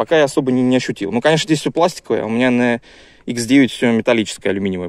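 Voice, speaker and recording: A man with a medium pitch talks at a very fast pace with lively intonation. The background is quiet, and the sound is dry with no echo. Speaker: YouTuber reviewing gear. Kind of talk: casual video review. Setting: outdoors in woods. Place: forest. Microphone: phone near.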